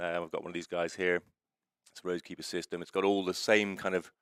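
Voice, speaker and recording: A man's very deep, low voice, very fast and monotone, with flat intonation. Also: dry, close sound with no echo. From United Kingdom. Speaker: racing electronics company founder. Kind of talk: interview.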